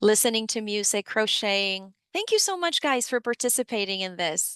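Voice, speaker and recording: Recorded dry and close with no echo against a quiet background, a woman with a fairly high pitch talks at a moderate pace with lively intonation. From Dominican Republic, then New York City. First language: Spanish. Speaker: financial education program supervisor. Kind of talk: webinar presentation. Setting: online webinar.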